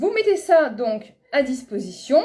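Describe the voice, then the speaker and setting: A woman speaks with a dark, mellow tone. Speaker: business coach. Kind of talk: live webinar coaching. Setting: online live stream.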